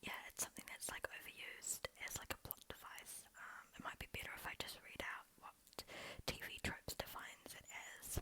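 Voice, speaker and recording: A moderately paced whisper under noticeable background noise. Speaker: ASMR creator. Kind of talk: casual talk to camera. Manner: whispered.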